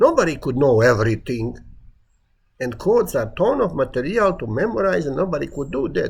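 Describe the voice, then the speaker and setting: A man's voice with very wide pitch swings. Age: 70s. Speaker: retired building inspector giving a talk. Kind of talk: self-recorded monologue presentation.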